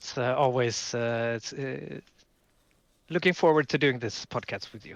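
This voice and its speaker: A man with a Swedish accent speaks at medium pitch and a moderate pace, with ordinary pitch variation. His loudness swings widely. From southern Sweden. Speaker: podcast co-host, card game player. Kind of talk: casual podcast chat. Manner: halting, many fillers.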